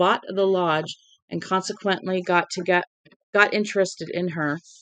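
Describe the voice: Plain reading aloud plays against a quiet background.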